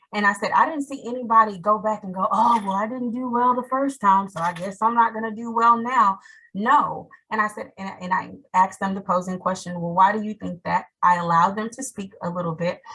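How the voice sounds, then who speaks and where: A woman talks at a fairly quick pace with a bright, sharp tone. Her loudness swings widely. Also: medium pitch for a woman, ordinary pitch variation. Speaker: teacher. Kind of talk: webinar panel talk. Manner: fast.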